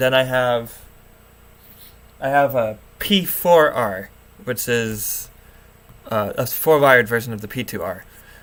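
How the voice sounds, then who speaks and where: Fairly slow speech with long, frequent pauses and ordinary pitch variation, against noticeable background noise. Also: man, medium pitch for a man. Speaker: alarm hobbyist YouTuber. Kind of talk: livestream rant. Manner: halting. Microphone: low quality setup.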